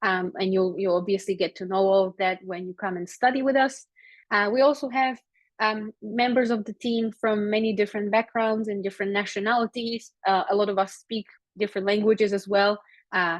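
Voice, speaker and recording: Fairly quick speech in a Slovak accent, with fairly even intonation. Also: woman, medium pitch for a woman. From Slovakia. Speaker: psychology lecturer. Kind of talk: webinar presentation. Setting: online webinar. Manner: hesitant, many fillers.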